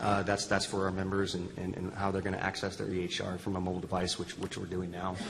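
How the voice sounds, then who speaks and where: Very fast, monotone, flat delivery from a man with very deep, low pitch and hardly any pauses, amid noticeable background noise and audible room echo. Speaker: health system IT executive. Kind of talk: panel discussion.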